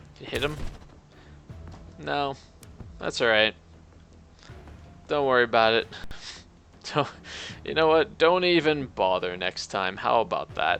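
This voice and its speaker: Quiet and fairly slow, a man with a fairly high voice swings his pitch very widely, leaving long, frequent pauses as music plays behind him. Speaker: game streamer. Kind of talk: live gameplay commentary. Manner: casual, meandering.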